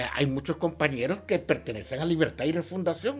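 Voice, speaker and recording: A man with an unremarkable speaking voice, fairly high in pitch, with lively intonation. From western Honduras. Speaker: human rights advocate. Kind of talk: interview.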